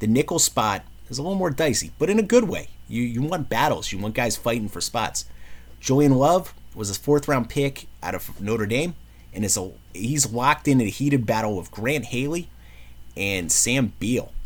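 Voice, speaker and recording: Animated and lively in intonation, a man with a New York accent speaks at a medium pitch and moderate pace, his voice showing vocal fry. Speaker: sports commentary vlogger. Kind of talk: casual sports preview monologue.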